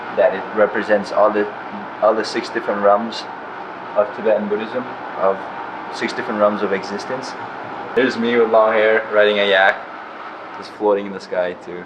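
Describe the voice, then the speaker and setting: A man with fairly low pitch talks in a monotone, flat intonation, leaving long, frequent pauses. Audible room echo and noticeable background noise fill the recording. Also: moderate pace. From Nepal, Everest region; moved to Colorado at twelve. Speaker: instrument maker. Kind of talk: documentary interview. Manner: halting.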